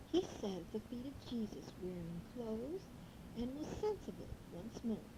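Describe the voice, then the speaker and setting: A woman speaks with lively intonation at a fairly slow pace. Long, frequent pauses break up her speech over noticeable background noise. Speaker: grandmother reading a children's Bible story on tape. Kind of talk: children's bible story reading.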